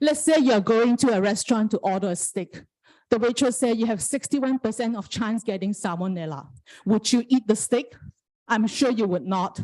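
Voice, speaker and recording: This woman, with a non-native accent, talks at a moderate pace in a fairly high pitch. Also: ordinary pitch variation. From Malaysia. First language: not English. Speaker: parent giving public comment. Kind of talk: public comment at school board meeting.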